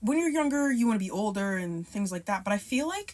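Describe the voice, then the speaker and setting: At a fairly quick pace, a woman with a medium pitch and a somewhat breathy voice speaks with lively intonation on a very clean recording with a silent background. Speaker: beauty vlogger. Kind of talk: casual chat.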